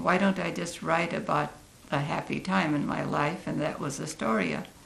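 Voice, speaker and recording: A woman speaks fairly slowly, her words carrying audible room echo. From Oregon, US West Coast. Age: 80s+. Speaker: community elder. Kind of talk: interview.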